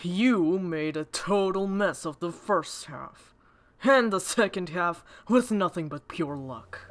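A female-sounding put-on character voice at a medium pitch for a woman moves at a fairly slow pace. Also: very clean recording, silent background. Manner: teasing, harsh.

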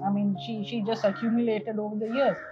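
A woman is speaking as clear music plays behind her. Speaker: caregiver daughter. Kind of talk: interview answer. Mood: calm, thoughtful. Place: garden. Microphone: lapel.

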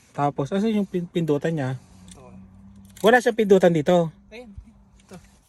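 This man's high pitch rises and falls in lively intonation, with big swings in loudness and long, frequent pauses at a moderate pace. The sound is dry and close, with no echo. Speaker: family vlogger. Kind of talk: casual vlog chat. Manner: animated.

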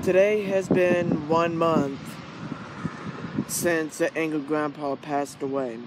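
A man with a fairly high pitch for a man talks at a slow pace with fairly even intonation over faint background noise.

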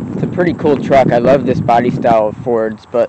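A man's voice sounds dry with no echo. Light background noise sits underneath. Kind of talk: casual vlog chat. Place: open country. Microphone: phone near.

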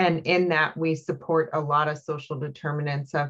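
A woman with a very deep, low pitch speaks in a somewhat breathy voice and a monotone, flat intonation. The background is quiet. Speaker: regional health organization representative. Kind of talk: public board meeting. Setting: video call. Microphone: video call.

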